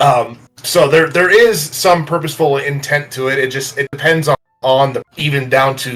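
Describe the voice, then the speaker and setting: This man has a plain, everyday voice with a fairly high pitch. He keeps a moderate pace and ordinary pitch variation. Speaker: composer and sound designer. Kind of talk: interview. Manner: many fillers and restarts.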